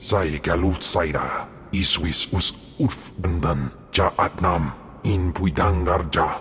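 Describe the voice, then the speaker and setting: A man does a put-on character voice pitched very deep and low, with clear background noise behind him. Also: fairly slow pace. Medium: video game.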